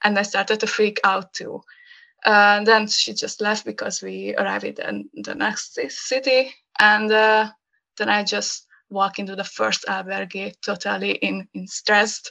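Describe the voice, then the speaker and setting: A woman with a Hungarian accent speaks at a fairly slow pace against a quiet background. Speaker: graphic designer. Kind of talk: casual chat. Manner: halting.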